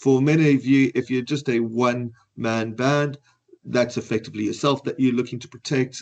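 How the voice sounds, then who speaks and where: Monotone, flat delivery at a moderate pace in a South African accent. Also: man, medium pitch for a man. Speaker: financial advisor. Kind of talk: webinar presentation.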